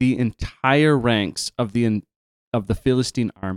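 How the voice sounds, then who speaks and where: In a dry, close sound with no echo, a man with a Canadian accent talks at a fairly slow pace. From Canada. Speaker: podcast host and camp worker. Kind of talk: casual podcast chat about Bible story.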